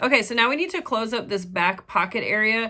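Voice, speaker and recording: A woman speaks loudly at a moderate pace, her fairly high voice bright and sharp in tone, with lively intonation. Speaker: sewing pattern designer and tutorial creator. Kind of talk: casual chat; tutorial.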